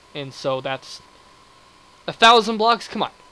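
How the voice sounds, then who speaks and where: Lively intonation marks this man's speech. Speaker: gaming video creator. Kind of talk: gameplay commentary. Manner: fast; animated.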